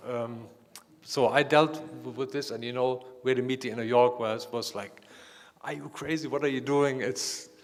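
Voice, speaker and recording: A man with a non-native accent, fairly even intonation, and a moderate pace. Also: medium pitch for a man. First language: not English. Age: 50s. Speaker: artist. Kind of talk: panel discussion. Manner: halting.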